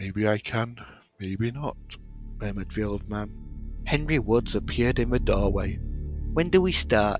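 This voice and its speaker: Over music in the background, a man with a British accent speaks at a fairly slow pace and a fairly low pitch with lively intonation. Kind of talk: audiobook reading.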